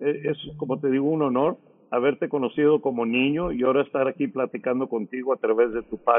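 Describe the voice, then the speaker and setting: A man with a fairly high voice rattles along at a very fast pace. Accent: American. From Rio Grande Valley, South Texas. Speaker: radio DJ. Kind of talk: casual chat.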